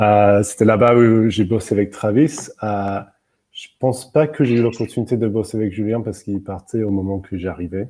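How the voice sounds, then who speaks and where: A man with an English accent speaks at a moderate pace in a fairly low pitch, with a dark, mellow tone and fairly even intonation. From England. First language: English (speaking French). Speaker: UX writer. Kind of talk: webinar interview.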